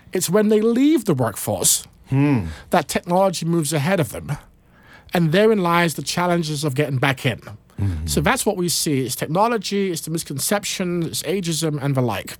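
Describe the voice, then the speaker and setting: A man with a British accent speaks at a high pitch and a moderate pace, with lively intonation. The recording is very clean, with a silent background. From United Kingdom. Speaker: nonprofit CEO. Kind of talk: panel discussion. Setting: studio.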